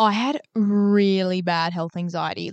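A woman speaks in an unremarkable speaking voice with ordinary pitch variation. The sound is dry and close with no echo, over a quiet background. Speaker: podcast co-host, healthcare worker. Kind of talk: casual chat.

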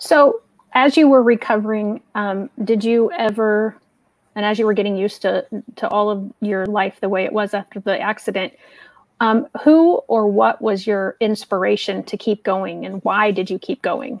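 The voice moves at a moderate pace with ordinary pitch variation. The sound is dry and close, with no echo. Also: woman, fairly high pitch for a woman. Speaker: education consultant and IEP coach. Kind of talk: live stream interview.

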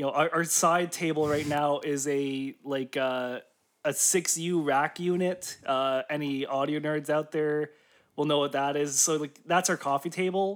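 A man with an ordinary speaking voice talks fairly slowly at a fairly high pitch with fairly even intonation on a very clean recording with a silent background. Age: 20s. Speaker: musician and podcast co-host. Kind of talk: casual chat.

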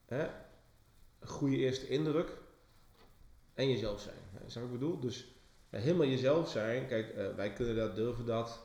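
In a room with audible echo, a man of medium pitch speaks at a fairly slow pace in a dark, mellow tone, with ordinary pitch variation and long, frequent pauses. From England, then Enschede. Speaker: branding agency owner, podcast co-host. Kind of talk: casual chat. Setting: office. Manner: talkative. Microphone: cheap microphone.

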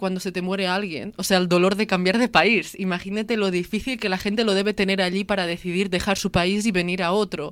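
Talking at a fairly quick pace, a woman uses an unremarkable speaking voice at a medium pitch. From Lleida, Catalonia. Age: 20s. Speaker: daughter of immigrants. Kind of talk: testimony.

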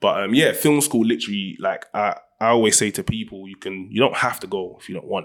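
In a very clean recording with a silent background, a man with a South London accent speaks at a very fast pace. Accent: South London multicultural London English. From South London (Ghanaian-British). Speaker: film director and writer. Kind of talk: casual interview chat. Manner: animated.

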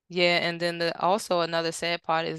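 Speaking at a moderate pace, a woman with an American accent has a fairly low pitch, heard in a dry, close sound with no echo. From Washington DC area. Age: 30s. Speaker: author and children's advocate. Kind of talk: casual interview.

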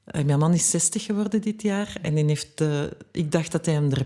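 A woman talks with a fairly low pitch and ordinary pitch variation. Her tone is dark and mellow. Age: 50s. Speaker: journalist and author. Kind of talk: podcast interview.

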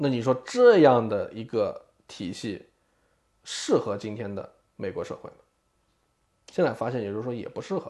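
Speech at a moderate pace with long, frequent pauses. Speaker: podcast co-host, former student advisor. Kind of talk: casual chat.

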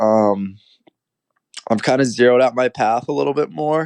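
Here is a normal speaking voice with ordinary pitch variation, moving at a moderate pace. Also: man. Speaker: college golfer and golf content creator. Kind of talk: casual interview.

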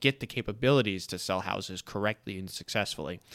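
A man with a plain, everyday voice speaks at a fairly quick pace and fairly low pitch, the sound dry and close with no echo in a very clean recording with a silent background. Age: 20s. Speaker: podcast host, new realtor. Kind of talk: casual interview. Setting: studio.

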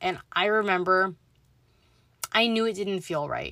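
A woman talks slowly enough to sound fairly slow, at medium pitch and with ordinary pitch variation. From Southern California, San Fernando Valley. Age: 20s. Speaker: spiritual medium podcaster. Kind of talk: personal storytelling monologue.

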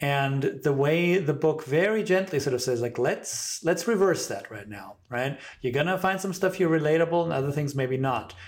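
An unremarkable speaking voice from a man, fairly high in pitch, with lively intonation, a moderate pace and hardly any pauses. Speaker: podcast host. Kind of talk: casual interview, chatty.

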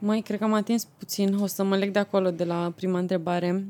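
Her tone is dark and mellow, her pitch medium for a woman. The woman talks at a fairly quick pace with monotone, flat intonation. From Romania, Argeș county. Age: 20s. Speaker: president of a student organization. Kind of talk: podcast interview.

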